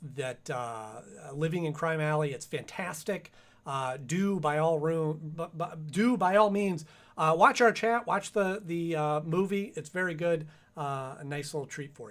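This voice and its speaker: A man speaks at a fairly slow pace with a fairly high pitch and ordinary pitch variation. His loudness swings widely on a very clean recording with a silent background. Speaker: YouTube streamer reviewing animated series. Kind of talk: live stream chat. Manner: halting with many fillers.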